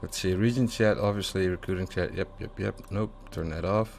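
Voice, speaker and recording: Speaking at a moderate pace with a European accent, a man uses a fairly low pitch and ordinary pitch variation. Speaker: gaming YouTuber. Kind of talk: tutorial. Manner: casual with many fillers.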